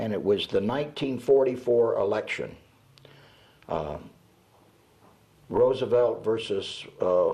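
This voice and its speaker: Speaking at a fairly slow pace with long, frequent pauses, a man with an American accent is heard amid audible room echo. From US South (Georgia and Alabama). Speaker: retired radio announcer. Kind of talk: oral history interview. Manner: halting, many fillers.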